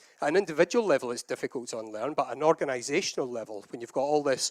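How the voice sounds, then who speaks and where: A man with a Scottish accent, in a dry, close sound with no echo. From Scotland. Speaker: agile consultant and conference speaker. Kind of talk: conference talk.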